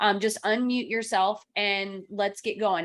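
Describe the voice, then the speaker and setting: A woman with a slight Kentucky accent. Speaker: real estate trainer and coach. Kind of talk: online training class. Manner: animated.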